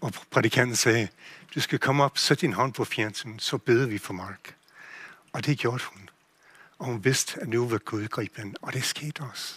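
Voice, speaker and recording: A man with an English accent at medium pitch, fairly slow, with ordinary pitch variation and big swings in loudness, in a dry, close sound with no echo. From USA. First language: English (speaking Danish). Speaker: pastor. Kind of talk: sermon. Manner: halting.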